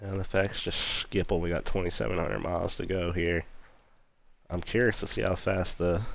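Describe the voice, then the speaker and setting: A man with a very deep, low pitch speaks in an animated tone with vocal fry. His pitch variation is ordinary and his pace moderate. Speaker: flight sim streamer. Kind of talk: casual live stream commentary. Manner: casual, animated; quiet, subdued.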